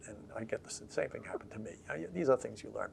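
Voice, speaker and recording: Here is a man with an American accent. Noticeable background noise runs behind him. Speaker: historian, professor emeritus. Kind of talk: oral history interview answer.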